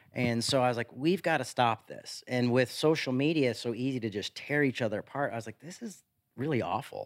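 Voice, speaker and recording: In an American accent, a man with a medium pitch speaks at a fairly quick pace, with ordinary pitch variation and big swings in loudness. It is an ordinary speaking voice on a very clean recording with a silent background. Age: 40s. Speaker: pastor. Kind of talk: casual chat.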